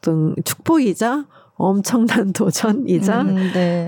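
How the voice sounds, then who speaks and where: A woman speaks with lively intonation in a dark, mellow tone at a medium pitch. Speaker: ballet company director and former ballerina. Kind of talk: interview.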